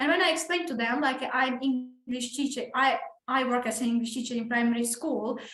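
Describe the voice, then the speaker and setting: Someone with a Ukrainian accent talks at a fairly quick pace amid audible room echo and noticeable background noise. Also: woman, high pitch for a woman, ordinary pitch variation. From Ukraine. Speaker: English teacher. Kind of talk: casual chat with students. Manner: halting, many restarts.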